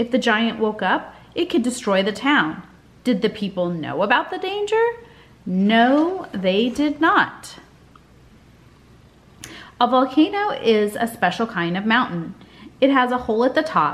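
A woman speaks at a fairly slow pace, leaving long, frequent pauses. Her pitch swings very widely. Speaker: teacher. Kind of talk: reading aloud to children. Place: home room. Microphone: webcam.

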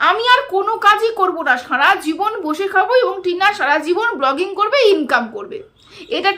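Strained and raised to a projected pitch that is extremely high, a woman's bright, sharp voice moves through very wide pitch swings. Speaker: YouTube commentator. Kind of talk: vlog commentary. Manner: strained effort to speak loudly.

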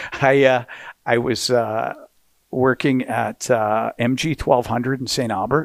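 A man's voice with vocal fry at a fairly slow pace, in dry sound with no echo and a quiet background. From Canada. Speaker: hockey play-by-play announcer. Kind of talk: podcast interview answer. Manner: energetic, enthusiastic. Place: studio. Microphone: headset.

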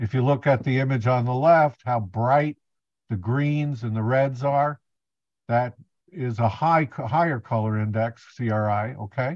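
A man's speech with long, frequent pauses, a dry sound with no echo and a quiet background. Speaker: presenter. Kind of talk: lecture. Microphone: video call.

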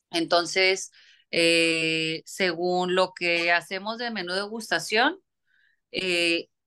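A very slow woman's voice, bright and sharp in tone, with fairly even intonation over a quiet background. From Mexico, Tijuana (border); Mexico. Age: 30s. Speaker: chef. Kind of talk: interview. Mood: calm, thoughtful. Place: home room. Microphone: phone near.

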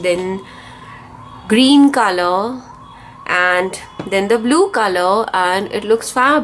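The woman's voice sits at a medium pitch. Noticeable background noise is present. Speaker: craft youtuber. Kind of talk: tutorial. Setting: home studio.

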